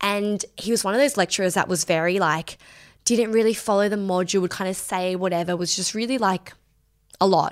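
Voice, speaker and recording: A woman's medium-pitched voice at a fairly quick pace with ordinary pitch variation, on a very clean recording with a silent background. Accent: Australian. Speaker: podcast host. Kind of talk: solo Q&A chat. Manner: fast talker; casual, chatty.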